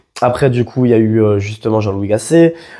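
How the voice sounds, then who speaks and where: At a fairly quick pace, a man with medium pitch and a dark, mellow tone talks with fairly even intonation. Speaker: football YouTuber. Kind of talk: casual video commentary. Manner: hesitant, many fillers.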